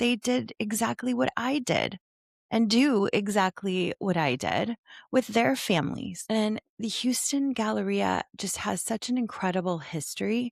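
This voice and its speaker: In a very clean recording with a silent background and a dry, close sound with no echo, a woman with a slight Ohio accent talks fairly slowly at a medium pitch with lively intonation. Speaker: retail nostalgia video host, former retail worker. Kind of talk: scripted narration. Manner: animated.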